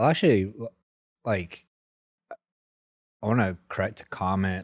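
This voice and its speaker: The recording is very clean, with a silent background. A man with an American accent speaks at a very deep, low pitch with ordinary pitch variation. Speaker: entrepreneur and former oilfield worker. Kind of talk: casual podcast interview. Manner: animated, casual.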